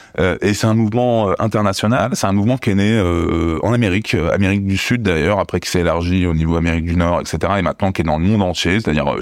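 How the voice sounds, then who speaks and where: A man speaks very fast at a very deep, low pitch with ordinary pitch variation and hardly any pauses. His loudness stays very even over noticeable background noise. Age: 40s. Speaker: abuse survivor and activist. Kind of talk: testimony. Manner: halting.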